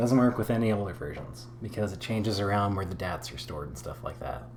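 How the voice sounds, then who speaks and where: Speaking fairly quickly, a man is heard with audible echo from the room. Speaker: gaming tutorial creator. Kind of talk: tutorial. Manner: casual, unscripted.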